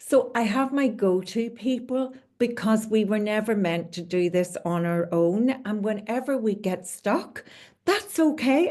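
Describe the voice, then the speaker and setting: Against a quiet background, a woman with a Northern Irish accent speaks fairly high in pitch with lively intonation. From Northern Ireland, Belfast. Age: 70s. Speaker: leadership coach. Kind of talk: interview.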